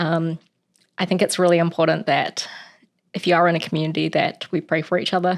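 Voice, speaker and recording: A woman with a New Zealand accent, fairly low in pitch and fairly quick, on a very clean recording with a silent background. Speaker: Bible reading channel host. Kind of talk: casual chat, then reading aloud. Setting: at home.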